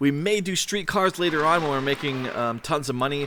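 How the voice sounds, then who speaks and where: Over noticeable background noise, a man talks at a fairly quick pace. His pitch is fairly high, with lively intonation. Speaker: gaming youtuber. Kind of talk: let's play commentary. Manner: fast.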